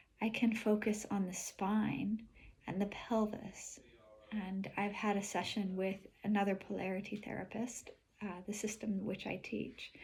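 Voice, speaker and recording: At a fairly slow pace, a woman speaks in a somewhat breathy, monotone and flat way. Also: medium pitch for a woman. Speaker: polarity therapist and vlogger. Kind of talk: personal video diary. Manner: careful enunciation.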